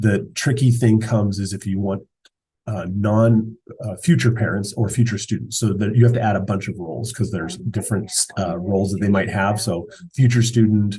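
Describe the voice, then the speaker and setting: A man talks fairly quickly with a dark, mellow tone. His voice is somewhat breathy, and his intonation is fairly even. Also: fairly low pitch for a man. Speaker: school software administrator. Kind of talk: screen-share tutorial. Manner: fast; casual, halting with fillers.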